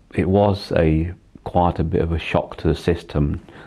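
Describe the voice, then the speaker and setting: A man's very deep, low-pitched voice. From England, Leicester. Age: 60s. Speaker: cancer patient, retired electrical engineer. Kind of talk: personal testimony interview. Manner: halting, many fillers.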